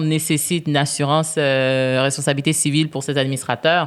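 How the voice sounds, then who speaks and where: A woman's very deep, low, monotone voice with flat intonation at a fairly quick pace, over noticeable background noise. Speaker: business executive and board member. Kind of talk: podcast interview. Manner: loud; hesitant, many fillers.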